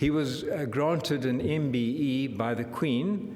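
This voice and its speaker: Talking at a fairly slow pace, a man uses a fairly high pitch with ordinary pitch variation. The room echo is audible, and there is noticeable background noise. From Southern Africa (born Zambia, raised Southern Cape). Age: 70s. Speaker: professor of anesthesiology. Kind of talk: lecture.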